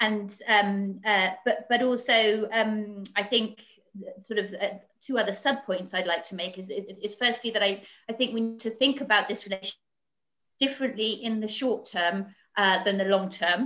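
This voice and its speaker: A woman with a British accent, fairly high in pitch, bright and sharp in tone, at a moderate pace with fairly even intonation. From Britain. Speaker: foreign policy analyst. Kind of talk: panel discussion. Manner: halting, many fillers.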